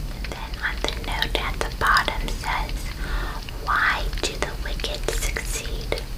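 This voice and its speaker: A woman whispers in a gentle tone at a very slow pace. Noticeable background noise is present. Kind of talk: scripture reading, ASMR. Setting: fire crackling in the background. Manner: whispered, slow, gentle.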